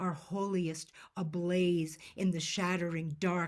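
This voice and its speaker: A woman speaks in a fairly low, somewhat breathy voice with monotone, flat intonation. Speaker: poet. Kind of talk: poetry reading. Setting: video call.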